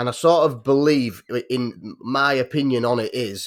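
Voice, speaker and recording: A man with a North Yorkshire accent, medium pitch and ordinary pitch variation. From North Yorkshire, England. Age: 30s. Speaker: podcast guest. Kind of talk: casual chat. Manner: halting.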